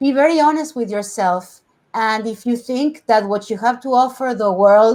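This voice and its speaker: In a very clean recording with a silent background, a woman with a Spanish accent speaks at a moderate pace with a fairly high pitch and ordinary pitch variation. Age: 40s. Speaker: TV host and journalist. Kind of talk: interview.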